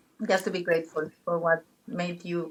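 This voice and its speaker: A woman with a non-native accent talks at a moderate pace in a fairly low pitch. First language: not English. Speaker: travel guide and former pharmacist. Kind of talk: interview conversation. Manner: animated; halting, with false starts.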